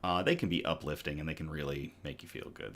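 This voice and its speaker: Here a man is speaking. His tone is upbeat. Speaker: news show host. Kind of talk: casual live-stream news show intro. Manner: upbeat, casual.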